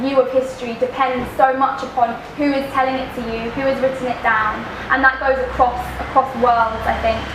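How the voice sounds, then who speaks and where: Over noticeable background noise, a woman with a high pitch speaks at a moderate pace in a flat monotone. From East London. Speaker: poet. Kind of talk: talk to a live audience. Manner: casual, rambling.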